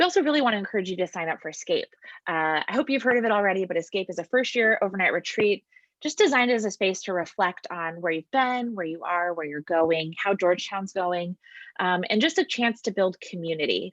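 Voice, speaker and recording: In a dry, close sound with no echo, a woman with an American accent speaks very fast with lively intonation. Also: medium pitch for a woman. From US West Coast. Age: 30s. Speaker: campus ministry staff. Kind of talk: interview; scripted presentation.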